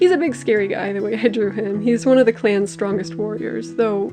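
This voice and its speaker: Mumbling woman at medium pitch with lively intonation, music in the background. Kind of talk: casual voiceover commentary while drawing. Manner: mumbly.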